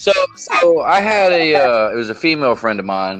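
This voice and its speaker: Music plays in the background. A man with a Southern US accent speaks with very wide pitch swings. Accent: Southern American. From Southern United States. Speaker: podcast host. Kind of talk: casual podcast conversation.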